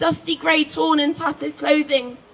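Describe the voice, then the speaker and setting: Moderate-paced speech with noticeable background noise. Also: woman. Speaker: spoken word poet. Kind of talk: spoken word poetry performance. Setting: outdoors, live event. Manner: powerful, moving.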